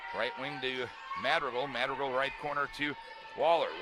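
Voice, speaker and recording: A man, with noticeable background noise. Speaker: sports play-by-play announcer. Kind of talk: radio style play-by-play. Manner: fast.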